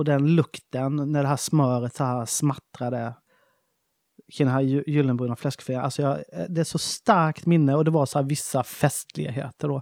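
The sound is dry and close with no echo, in a very clean recording over a silent background. Delivery comes at a moderate pace with fairly even intonation. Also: man, fairly high pitch for a man. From Småland, Sweden. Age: 40s. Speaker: chef and shop owner. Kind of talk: casual interview.

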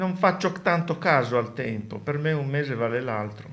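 Lively intonation from a man with a fairly high voice. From Sardinia. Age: 70s. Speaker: retiree. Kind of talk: casual interview.

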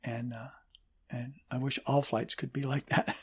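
A man speaks at a medium pitch and moderate pace. His voice is somewhat breathy, with fairly even intonation. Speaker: pastor and father of the co-host. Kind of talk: casual interview.

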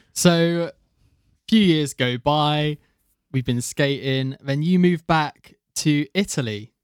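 Speaking very slowly in a British accent, a man has a fairly high pitch and ordinary pitch variation. The sound is dry and close, without echo. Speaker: podcast host. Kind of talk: casual chat.

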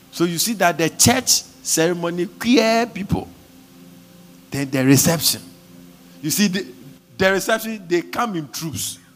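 Over music in the background, the speech comes at a fairly slow pace with lively intonation and long, frequent pauses. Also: man, high pitch for a man. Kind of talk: fervent charismatic prayer led over a congregation, with tongues and decrees. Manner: urgent, rhythmic and insistent, exhorting the crowd to pray aloud.

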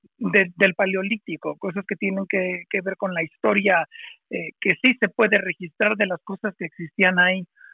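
The intonation stays monotone and flat. The pace is moderate. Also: man, high pitch for a man. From Mexico, Monterrey. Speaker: spiritual coach and priest. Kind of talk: interview. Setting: remote audio call.

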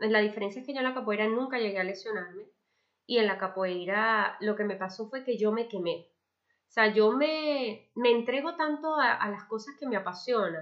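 A woman with a fairly high pitch uses a normal speaking voice, ordinary pitch variation and a moderate pace. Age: 30s. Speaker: podcast host. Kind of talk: personal monologue.

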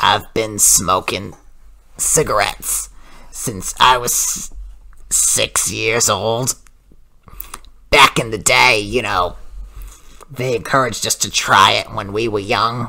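A raspy, low-pitched put-on character voice at a fairly slow pace, with long, frequent pauses. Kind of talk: comic overacting prank call. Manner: sweet, calls everyone honey.

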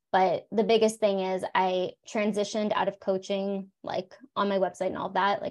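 A woman with a plain, everyday voice and an American accent talks at a fairly quick pace in a medium pitch. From South Florida. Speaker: psychologist and coach. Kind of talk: interview conversation.

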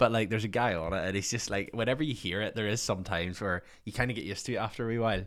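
Fairly quick speech with a Northern Irish accent. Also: man. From Northern Ireland. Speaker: podcast host. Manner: casual, conversational.

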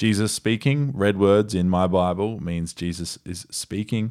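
With an Australian accent, the speaker talks at a fairly slow pace in an animated, energetic tone with ordinary pitch variation, in a very clean recording over a silent background. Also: man. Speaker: podcast host. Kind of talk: casual chat.

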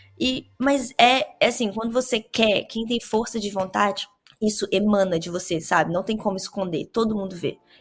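Music plays in the background as a woman speaks at a moderate pace. Her pitch is medium and her pitch variation ordinary. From Brazil, Vitória, Espírito Santo. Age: 20s. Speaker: cannabis grower and hashmaker. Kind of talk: casual interview chat.

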